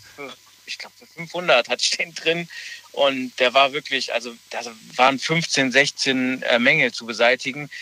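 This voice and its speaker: A plain, everyday voice moves at a fairly slow pace with fairly even intonation and big swings in loudness. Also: man, fairly high pitch for a man. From Germany, Rhineland near Cologne/Leverkusen. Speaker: caller. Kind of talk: phone-in call.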